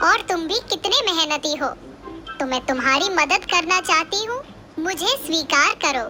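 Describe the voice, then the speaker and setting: Amid clear background noise, a female-sounding, cartoonish character voice speaks at an extremely high pitch and a moderate pace. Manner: gentle, kindly.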